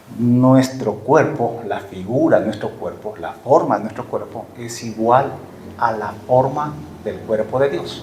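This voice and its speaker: Over audible room echo, a man with a medium pitch speaks at a very slow pace with ordinary pitch variation. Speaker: preacher. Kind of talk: sermon.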